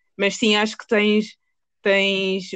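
Speaking very slowly, this woman keeps her pitch in the middle range. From Portugal. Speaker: podcast host. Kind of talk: interview.

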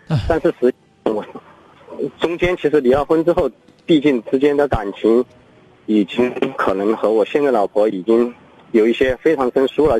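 A man with a fairly high pitch talks at a moderate pace with lively intonation. The sound is dry and close with no echo, with noticeable background noise. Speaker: caller. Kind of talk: phone-in call. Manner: halting.

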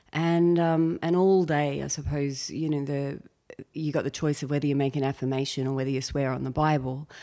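A woman with an Australian accent, very deep and low in pitch, dark and mellow in tone, at a fairly quick pace with fairly even intonation, on a very clean recording with a silent background. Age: 40s. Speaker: comedian. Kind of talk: casual chat.

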